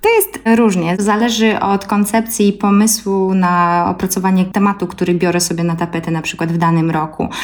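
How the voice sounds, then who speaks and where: Amid noticeable background noise, a woman speaks at a fairly quick pace with hardly any pauses and fairly even intonation. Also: medium pitch for a woman. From Belarus, Gomel Polesia. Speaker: ethnomusicologist and singer. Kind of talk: interview.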